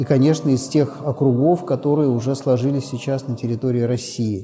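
A man at a medium pitch, with ordinary pitch variation and a moderate pace, faint music in the background. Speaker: youth organization leader. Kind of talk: interview explanation. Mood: calm, friendly. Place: church.

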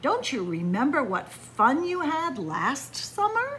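A woman's high-pitched, put-on character voice at a fairly slow pace, over clear background noise. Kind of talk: reading a picture book aloud to children. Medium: read story. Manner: bright, coaxing. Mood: coaxing.

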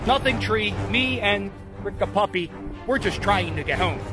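Music plays clearly in the background as a man speaks at a moderate pace. The sound is dry, with no echo. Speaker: comedy YouTuber. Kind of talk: comedic parody movie trailer. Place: open country. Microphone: phone near.

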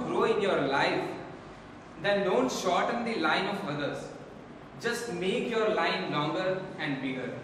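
A man talking fairly slowly amid strong room echo and noticeable background noise. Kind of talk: staged skit dialogue, advice speech. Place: hall. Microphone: camera far.

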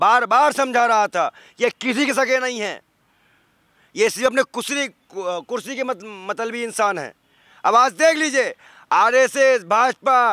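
A man's raised, projected voice at an extremely high pitch, bright and sharp in tone, with ordinary pitch variation, a fairly slow pace and long, frequent pauses, dry with no echo over a quiet background. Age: 20s. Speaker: ascetic and civil-services aspirant. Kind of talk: street interview, political rant. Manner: animated; loud. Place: open country. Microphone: handheld.

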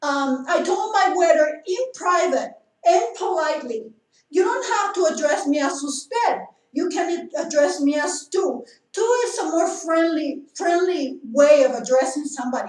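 A woman's extremely high voice at a moderate pace, with long, frequent pauses, audible room echo and a quiet background. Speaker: vlogger telling a complaint. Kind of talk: casual vlog chat. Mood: indignant, complaining. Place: home room. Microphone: camera far.

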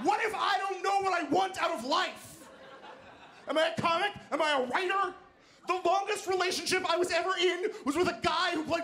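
Raising and projecting his extremely high voice, a man speaks at a fairly quick pace in a bright, sharp tone with ordinary pitch variation over light background noise. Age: 30s. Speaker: stand-up comedian. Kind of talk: stand-up. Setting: stage with audience. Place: stage. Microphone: handheld.

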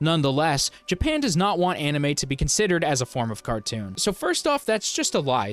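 Dry and free of echo, a man's voice moves at a fairly quick pace. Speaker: commentary youtuber. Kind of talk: commentary. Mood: sarcastic, incredulous. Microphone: handheld.

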